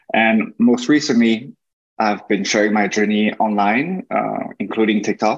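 A man with a French accent speaks at a fairly slow pace. His loudness stays very even, with ordinary pitch variation. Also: medium pitch for a man. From France and China. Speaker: tech worker and content creator. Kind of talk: interview. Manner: halting.

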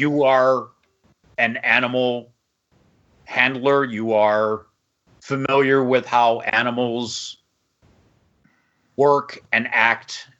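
A man's put-on character voice at a medium pitch, very slow, with long, frequent pauses. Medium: actual play. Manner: growly, dryly sarcastic.

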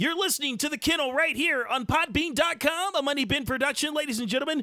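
Recorded very cleanly with a silent background, a man speaks in a raised, projected voice with a bright, sharp tone. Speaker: podcast host. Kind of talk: angry rant. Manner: indignant, emphatic, preachy, fired-up.

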